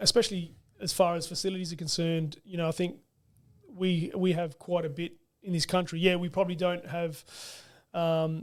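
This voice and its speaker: A high-pitched man with an Australian accent, fairly quick pace, fairly even intonation, and long, frequent pauses. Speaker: football coach. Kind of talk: casual chat. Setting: studio.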